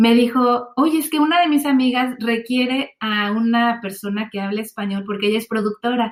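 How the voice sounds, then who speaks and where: With a Mexican accent, a woman speaks at a fairly high pitch. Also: ordinary pitch variation, moderate pace, hardly any pauses. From Mexico. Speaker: translator, voice-over artist and yoga teacher. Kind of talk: interview answer.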